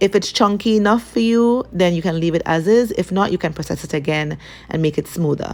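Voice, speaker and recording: A woman's unremarkable speaking voice at a medium pitch, with ordinary pitch variation and a fairly quick pace. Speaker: cooking channel host. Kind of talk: cooking tutorial.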